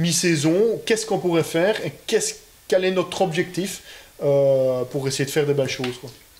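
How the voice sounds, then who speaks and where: Light background noise sits under a man talking at a fairly quick pace with ordinary pitch variation. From Belgium. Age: 20s. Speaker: rally driver. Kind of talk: interview; interview answer. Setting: car dealership building. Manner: halting. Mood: relaxed, friendly.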